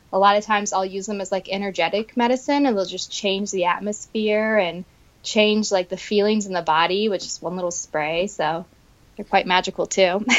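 A woman talks in a normal speaking voice at a medium pitch. Her pace is fairly quick. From Florida, Tampa area. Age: 30s. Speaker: herbalist. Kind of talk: interview conversation.

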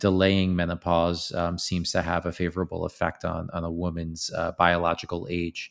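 Speaking at a moderate pace, a man delivers his words in a monotone, flat intonation at a very deep, low pitch. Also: very clean recording, silent background. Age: 30s. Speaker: supplement company founder and CEO. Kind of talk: podcast interview.

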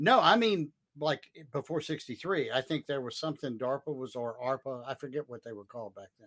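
An ordinary speaking voice with big swings in loudness, ordinary pitch variation and hardly any pauses, recorded with a dry, close sound and no echo. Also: man, fairly high pitch for a man, fairly quick pace. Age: 60s. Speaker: tech consultant and trainer. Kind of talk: casual chat. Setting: live stream.

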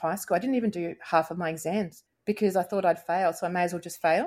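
A woman with an Australian accent talks very fast at a fairly low pitch with ordinary pitch variation, on a very clean recording with a silent background. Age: 40s. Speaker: podcast guest sharing ADHD story. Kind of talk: casual interview.

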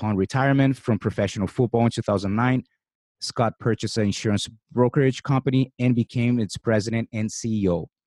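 Over a silent background in a very clean recording, a man with a Brazilian accent talks at a fairly quick pace, his medium-pitched voice keeping a fairly even intonation. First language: Portuguese. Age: 40s. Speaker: podcast host and jiu-jitsu coach. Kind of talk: interview.

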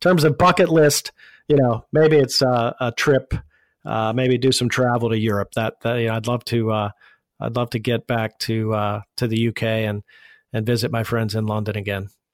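A man with an American accent, medium pitch, ordinary pitch variation and a moderate pace, in a very clean recording with a silent background and a dry, close sound with no echo. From Pittsburgh, Pennsylvania. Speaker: digital marketing agency founder. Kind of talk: interview. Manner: halting, many fillers.

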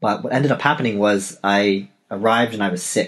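A man talks with a Canadian accent at a fairly low pitch. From Canada, Toronto. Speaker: novelist and podcast host. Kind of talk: solo podcast monologue.

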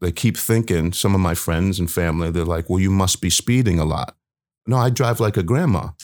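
A man with an East Coast US accent speaks in a very deep, low voice with ordinary pitch variation. The recording is very clean with a silent background. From US East Coast, Baltimore. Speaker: community speaker sharing experiences with police. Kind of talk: interview storytelling.

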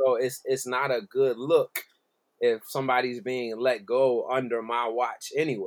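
This man has an unremarkable speaking voice with an American accent and a medium pitch. He talks at a moderate pace with fairly even intonation. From South Jersey, Philadelphia area. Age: 30s. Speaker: musical director. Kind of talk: casual interview chat. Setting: remote call from home.

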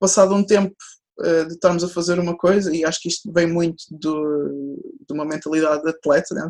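A woman speaks at a fairly low pitch with monotone, flat intonation. The background is quiet. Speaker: sports psychologist. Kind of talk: interview. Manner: fast.

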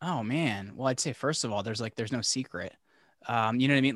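This man talks at a very fast pace with a medium pitch. The sound is dry and close with no echo, and the background is quiet. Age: 30s. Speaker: podcaster and brand agency owner. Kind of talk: interview. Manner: casual, animated.

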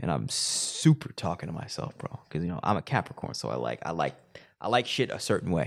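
Vocal fry with very wide pitch swings. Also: man. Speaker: podcast host. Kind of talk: casual chat.

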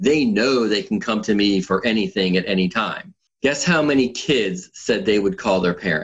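A man's ordinary speaking voice, fairly low in pitch, with lively intonation, very even loudness and a moderate pace. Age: 50s. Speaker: app founder and triathlon coach. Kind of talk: podcast interview.

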